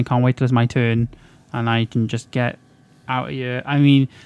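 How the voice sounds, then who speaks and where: A man speaks at a moderate pace in a medium pitch with monotone, flat intonation. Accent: Welsh. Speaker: podcast co-host. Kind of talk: casual chat.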